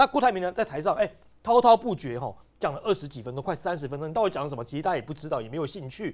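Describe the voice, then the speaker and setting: Speaking at a very fast pace, a man makes very wide pitch swings over a quiet background. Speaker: political commentator. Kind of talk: panel discussion. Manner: animated.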